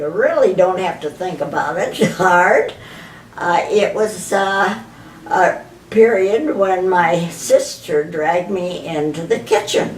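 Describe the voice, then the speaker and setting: Speaking at a very slow pace, a woman uses a medium pitch with ordinary pitch variation. There is noticeable background noise. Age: 80s+. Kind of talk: interview answer. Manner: reminiscing.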